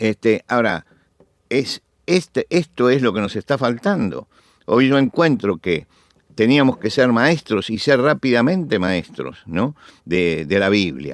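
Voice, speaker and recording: A man speaks at a fairly slow pace, his medium pitch carrying vocal fry and very wide swings. The sound is dry and close with no echo, on a very clean recording with a silent background. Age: 70s. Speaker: preacher. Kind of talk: interview testimony. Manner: halting.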